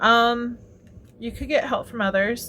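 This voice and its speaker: A woman's normal speaking voice with fairly even intonation at a fairly slow pace. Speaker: tarot reader. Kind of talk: tarot reading monologue. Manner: casual, filler-heavy.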